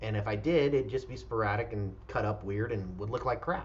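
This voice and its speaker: A man's voice with vocal fry and ordinary pitch variation, plus audible room echo. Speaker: real estate broker. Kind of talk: recruiting pitch. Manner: fast.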